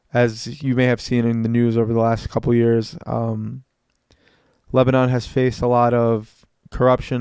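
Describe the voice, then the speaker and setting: This man talks at a medium pitch in a monotone, flat intonation. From United States, Lebanese-American family. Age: 20s. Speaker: podcast host. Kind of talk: solo podcast monologue. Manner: some stumbles and false starts; casual, motivational.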